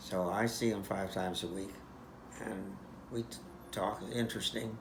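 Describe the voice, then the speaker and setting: A man talks with a fairly low pitch and a somewhat breathy sound. His intonation stays fairly even. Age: 80s+. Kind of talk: interview answer. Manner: slow, hesitant.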